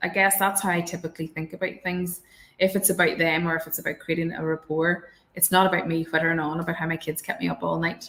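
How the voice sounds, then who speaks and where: A woman with a Northern Irish accent talks at a fairly quick pace, her fairly low voice flat and monotone. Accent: rural Northern Irish. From Northern Ireland, countryside. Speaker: barrister. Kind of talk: panel discussion. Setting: online webinar. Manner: hesitant, many fillers.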